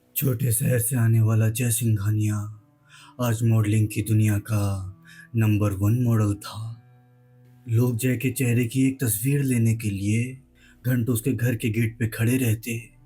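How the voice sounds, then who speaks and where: A man talks at a medium pitch in a flat monotone, with music playing in the background. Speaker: horror storyteller. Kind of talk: horror story narration.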